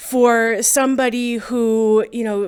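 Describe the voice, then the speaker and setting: A woman's fairly high voice comes through in a monotone, flat intonation on a very clean recording with a silent background. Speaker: eulogy speaker. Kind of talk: memorial tribute.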